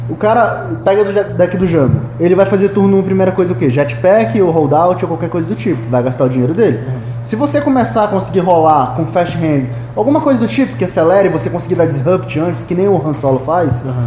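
There is audible room echo and noticeable background noise. A man with a fairly high pitch speaks very fast with lively intonation. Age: 20s. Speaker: card game player and game store worker. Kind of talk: casual chat. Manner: halting, repeats words.

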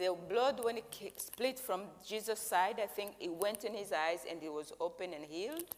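A woman with a Rwandan accent, lively intonation and a moderate pace. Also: medium pitch for a woman. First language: Kinyarwanda. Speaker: interpreter for visiting preacher. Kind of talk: interpreted sermon. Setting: church service.

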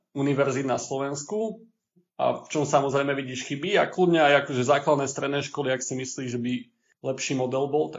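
A man with an unremarkable speaking voice, fairly high pitch, a moderate pace and fairly even intonation. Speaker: podcast host. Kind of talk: casual chat.

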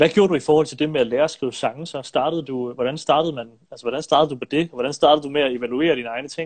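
A man speaks at a very fast pace with hardly any pauses. His pitch is fairly high and his intonation fairly even. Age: 20s. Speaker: filmmaker and live-stream host. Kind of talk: interview. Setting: Instagram live stream. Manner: hesitant with frequent fillers.

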